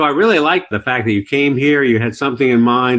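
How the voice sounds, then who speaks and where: Here a man speaks at a fairly quick pace with an ordinary speaking voice. His pitch is medium, with ordinary pitch variation. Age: 50s. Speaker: podcast host, business broker. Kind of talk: podcast interview.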